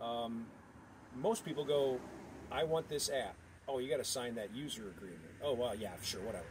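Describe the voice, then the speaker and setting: A man speaks at a moderate pace and medium pitch with lively intonation. He leaves long, frequent pauses. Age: 60s. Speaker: video blogger. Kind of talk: casual monologue. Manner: halting.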